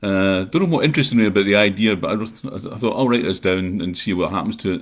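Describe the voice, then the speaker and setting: A man's very fast speech with a Scottish accent, fairly low in pitch, with ordinary pitch variation. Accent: Scottish, unchanged. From Scotland, North Ayrshire. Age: 60s. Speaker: horror writer. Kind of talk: live chat monologue. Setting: livestream. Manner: rambling with filler uh.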